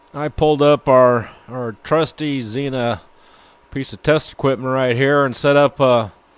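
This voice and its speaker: Fairly even intonation at a fairly slow pace. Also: man, medium pitch for a man. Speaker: network engineer, video blog host. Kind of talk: tutorial. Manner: halting, many fillers and repeats.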